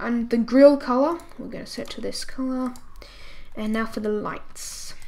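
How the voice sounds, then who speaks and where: Amid noticeable background noise and audible room echo, a woman speaks high-pitched at a fairly slow pace, her intonation fairly even but her loudness swinging widely. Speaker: software tutorial creator. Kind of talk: tutorial.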